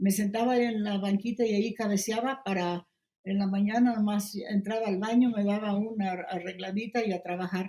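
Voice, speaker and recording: The voice has a dark, mellow tone and is somewhat breathy. It keeps fairly even intonation at a moderate pace. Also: woman, medium pitch for a woman. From Poland. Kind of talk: interview answer.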